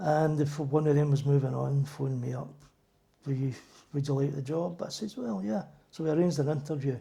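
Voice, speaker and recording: Fairly quick and somewhat breathy, a man speaks at a fairly high pitch. His pitch variation is ordinary. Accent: Glaswegian. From Scotland, Glasgow (Drumchapel). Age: 70s. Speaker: church elder, retired docker. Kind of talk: interview.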